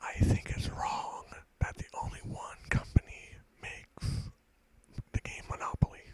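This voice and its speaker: A man whispers at a fairly slow pace, leaving long, frequent pauses. His loudness swings widely. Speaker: ASMR creator. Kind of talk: whispered stand-up comedy one-liners. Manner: whispered.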